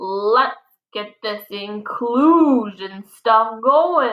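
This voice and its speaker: A woman's put-on character voice, fairly high-pitched and very slow. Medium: read story. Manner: folksy, warm.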